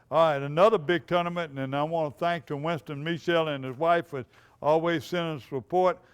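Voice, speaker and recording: Recorded very cleanly against silence, a man with a Louisiana accent speaks at a fairly high pitch with ordinary pitch variation. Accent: Louisiana Southern. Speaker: outdoors TV show host. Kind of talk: reading tournament results. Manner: halting.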